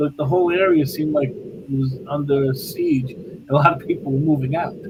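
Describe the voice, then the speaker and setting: Noticeable background noise sits behind a man with an American accent. He speaks at a moderate pace in a fairly high pitch. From New York City (Bensonhurst, Brooklyn). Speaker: paranormal investigator. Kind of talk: casual interview chat.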